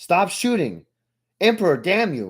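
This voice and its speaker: At a moderate pace, a strained, put-on character voice moves through very wide pitch swings. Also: man. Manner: desperate, shouting.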